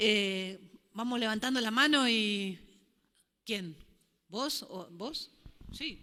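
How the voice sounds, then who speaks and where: A woman's medium-pitched, bright and sharp voice, very slow, with ordinary pitch variation. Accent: Rioplatense. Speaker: panel moderator. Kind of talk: panel discussion.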